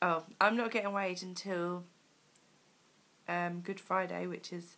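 A woman speaks at medium pitch with a monotone, flat intonation. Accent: British. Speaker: weight loss vlogger. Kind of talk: video diary. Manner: hesitant, many fillers.

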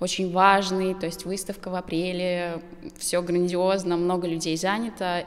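A woman in an ordinary speaking voice, fairly low in pitch, with fairly even intonation at a moderate pace. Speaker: interview guest. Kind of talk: interview answer. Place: studio. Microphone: handheld.

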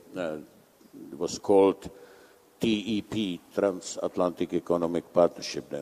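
A man's very deep, low voice with a Czech accent, fairly even intonation and a very slow pace. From Czech Republic. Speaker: conference moderator. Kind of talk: panel moderation. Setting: stage with audience. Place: hall.

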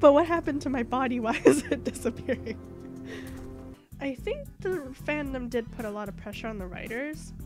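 Over music in the background, a woman speaks at a high pitch with lively intonation. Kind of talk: casual gaming commentary and rant. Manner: chatty, rambling.

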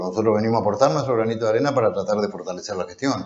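A man speaks at a fairly low pitch with ordinary pitch variation. Audible room echo is present. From Corrientes, Argentina. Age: 50s. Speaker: politician, council candidate. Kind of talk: political interview. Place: studio. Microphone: lapel.

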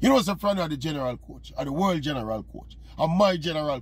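A man talks at a very fast pace. The sound is dry, with no echo. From Jamaica. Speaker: sports commentator. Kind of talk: opinion monologue to camera. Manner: animated. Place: car. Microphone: phone near.

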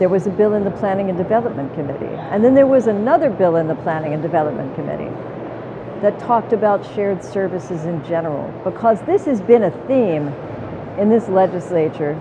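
Through noticeable background noise, a woman speaks at a fairly quick pace. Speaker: legislator or policy commentator. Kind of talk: interview answer. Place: hall. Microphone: lapel.

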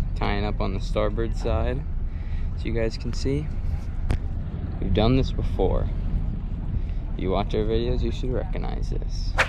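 A man speaks at a moderate pace, the sound dry with no echo. Noticeable background noise sits behind him. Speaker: sailing vlogger. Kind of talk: casual vlog chat. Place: boat. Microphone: phone near.

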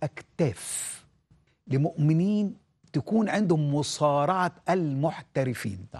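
Lively intonation runs through a man's fairly high-pitched voice. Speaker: pastor. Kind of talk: sermon. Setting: studio. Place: studio. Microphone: lapel.

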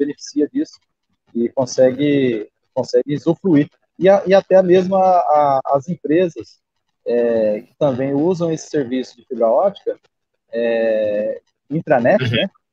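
Against a quiet background, a man speaks at a fairly slow pace and fairly high pitch with ordinary pitch variation. His loudness swings widely, and the sound is dry with no echo. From Rondônia, Brazil. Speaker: regional news site owner. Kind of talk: live stream interview. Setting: video call. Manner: halting. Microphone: video call.

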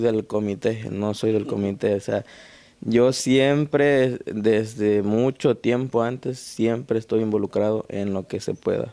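A man's dark, mellow voice at medium pitch, with fairly even intonation and a very slow pace. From Mexico, Guerrero (Tecpan); Guerrero, Mexico. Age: young. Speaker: painter and folk dancer. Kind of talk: interview. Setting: at home. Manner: halting. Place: home room. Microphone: handheld.

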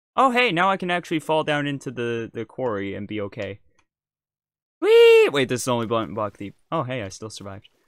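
A man with a medium pitch and an American accent talks at a fairly quick pace with lively intonation on a very clean recording with a silent background. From United States. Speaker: gaming streamer. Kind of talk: casual chat. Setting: live stream. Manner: animated.

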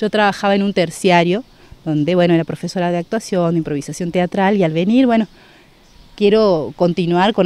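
A woman talks in a dark, mellow tone with ordinary pitch variation. The recording is dry, with no echo. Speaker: theatre teacher. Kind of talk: interview answer. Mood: friendly, upbeat.

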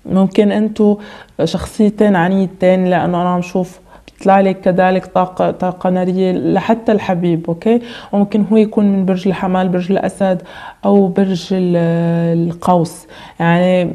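A woman's monotone, flat intonation over a quiet background. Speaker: tarot reader. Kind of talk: tarot reading monologue.

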